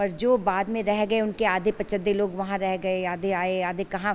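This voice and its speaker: A woman's medium-pitched voice in a flat monotone. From Amritsar, Punjab, India. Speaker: Partition survivor. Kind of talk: interview answer.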